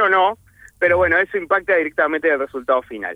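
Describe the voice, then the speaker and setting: Here is a man with a plain, everyday voice. He moves at a fairly quick pace with ordinary pitch variation. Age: 40s. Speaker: chef. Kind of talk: casual radio interview, cooking tips.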